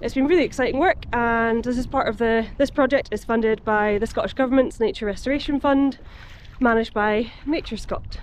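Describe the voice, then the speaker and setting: At a fairly quick pace, a woman talks in a high voice with ordinary pitch variation, the sound dry with no echo and light background noise. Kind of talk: casual vlog chat. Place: waterside. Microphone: phone near.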